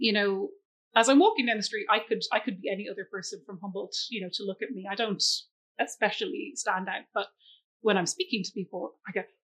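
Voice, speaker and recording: A woman with an Irish accent speaks at a fairly high pitch and a fairly quick pace. Her pitch varies in an ordinary way, while her loudness swings a lot. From Ireland. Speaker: school scholarship coordinator. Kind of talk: interview.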